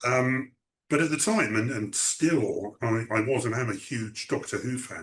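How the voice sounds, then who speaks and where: The voice is somewhat breathy, in an English accent. It moves at a fairly slow pace with ordinary pitch variation. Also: man, medium pitch for a man. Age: 60s. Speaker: writer. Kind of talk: interview. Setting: video call. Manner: halting.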